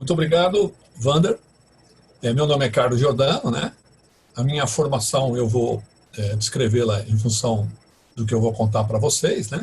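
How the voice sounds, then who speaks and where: Somewhat breathy and medium-pitched, a man speaks with ordinary pitch variation and long, frequent pauses. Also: moderate pace. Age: 60s. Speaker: professor and IT professional. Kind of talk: interview, personal career story. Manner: halting, many fillers and restarts.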